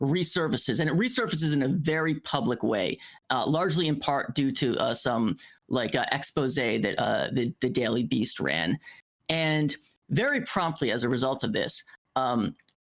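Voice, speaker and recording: Speaking at a moderate pace, a man with a fairly high pitch and vocal fry keeps his loudness very even while his intonation stays lively. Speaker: podcast host. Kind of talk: casual podcast talk.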